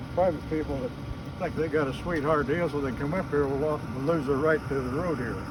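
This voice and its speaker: A man with an American accent talks at a very fast pace in a fairly high voice with fairly even intonation. Audible room echo and noticeable background noise are present. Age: 70s. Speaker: volunteer road maintainer. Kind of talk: casual on-site interview. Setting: outdoors on a forest road.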